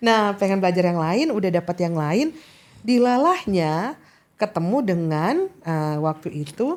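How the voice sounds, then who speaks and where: A woman's medium-pitched voice with a slight Makassar accent, lively intonation, a fairly slow pace and very even loudness, on a very clean recording with a silent background. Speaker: diplomat and state interpreter. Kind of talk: casual interview.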